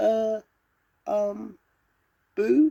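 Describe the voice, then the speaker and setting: A squeaky, female-sounding put-on character voice sits at a fairly high pitch. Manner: hesitant, shy.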